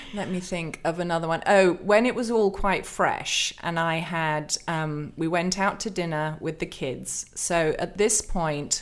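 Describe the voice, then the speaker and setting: Speaking with hardly any pauses, a woman with an English accent uses a fairly low pitch and ordinary pitch variation. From England. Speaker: author and pastor. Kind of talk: interview.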